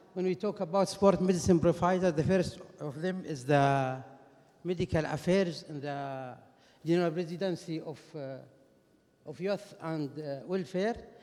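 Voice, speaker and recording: A man's high-pitched, dark and mellow voice with a Saudi accent, moderate pace, ordinary pitch variation and big swings in loudness. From Saudi Arabia. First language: Arabic. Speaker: orthopedic and sports medicine doctor. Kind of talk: conference lecture. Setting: conference stage with audience. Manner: halting, many fillers.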